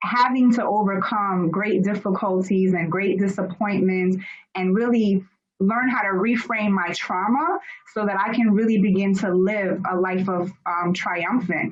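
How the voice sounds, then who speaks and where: A woman talks with an American accent. Her pace is fairly slow and her intonation fairly even. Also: medium pitch for a woman. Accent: Americanized. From Germany, then US from age six. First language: German. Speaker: author and personal development speaker. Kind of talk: interview.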